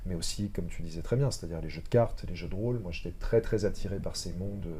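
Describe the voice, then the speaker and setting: A man talks at a very fast pace. Audible echo fills the room. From Lorraine, France (countryside near Metz). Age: 30s. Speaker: actor. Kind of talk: casual chat. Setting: live podcast studio. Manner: hesitant, many fillers.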